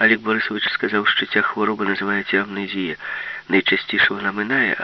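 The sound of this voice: An unforced reading voice carries the clip.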